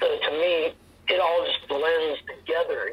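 A man with an American accent at a fairly slow pace, amid noticeable background noise. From US East Coast, DC area / Northern Virginia. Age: 50s. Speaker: martial arts instructor. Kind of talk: casual interview.

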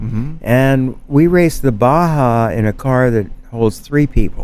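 Music plays in the background as a man speaks at a fairly slow pace. His voice sits at a medium pitch with lively intonation. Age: 70s. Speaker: artist and mezcal producer. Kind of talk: casual chat. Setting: basement of a bar.

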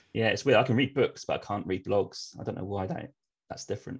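Talking at a very fast pace, a man speaks with an English accent. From eastern England. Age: 30s. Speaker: travel podcast host. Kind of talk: casual interview chat.

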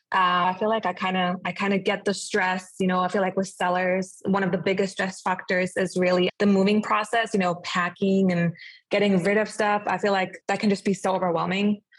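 A woman with a German accent speaks fairly quickly at a medium pitch, with hardly any pauses. Her voice is somewhat breathy, with very even loudness and a monotone, flat intonation. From Germany. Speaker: realtor. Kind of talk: casual interview.

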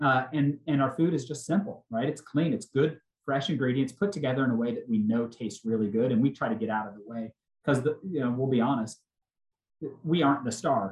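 A man with a plain, everyday voice and an American accent speaks at a fairly quick pace and medium pitch, with ordinary pitch variation. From Oklahoma. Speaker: restaurant chain CEO. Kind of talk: casual interview.

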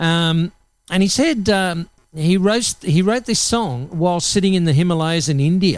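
This man, with an Australian accent, uses a high pitch and ordinary pitch variation at a moderate pace, on a very clean recording with a silent background. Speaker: radio host. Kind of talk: live radio presenting. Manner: casual, friendly.

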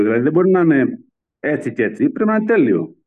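With an ordinary speaking voice, a man talks at a fairly quick pace and with lively intonation. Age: 40s. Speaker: pastry chef. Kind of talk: interview testimony.

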